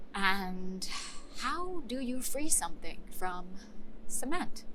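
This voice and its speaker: Over noticeable background noise, a woman speaks very slowly at a fairly high pitch, her voice swinging very widely in pitch. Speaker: actor performing a scripted monologue. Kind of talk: theatrical monologue, conversational, performed to camera. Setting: virtual recording of a monologue made during the pandemic.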